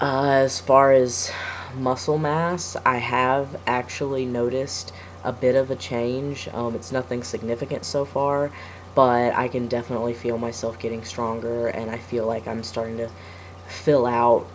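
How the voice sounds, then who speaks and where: A man at a medium pitch is heard over noticeable background noise. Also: ordinary pitch variation, moderate pace. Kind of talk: personal video diary. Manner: hesitant, many fillers.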